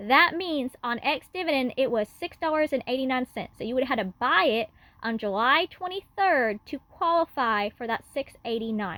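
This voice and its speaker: A woman talks with hardly any pauses. Her pitch is high. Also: lively intonation. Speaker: finance YouTuber. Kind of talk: tutorial. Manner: fast.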